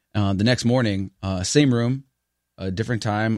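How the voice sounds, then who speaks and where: An unremarkable speaking voice from a man with an American accent, fairly low in pitch, fairly even intonation, a fairly quick pace and a very clean recording with a silent background. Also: dry, close sound with no echo. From New York City, the Bronx. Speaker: singer and actor. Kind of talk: casual chat.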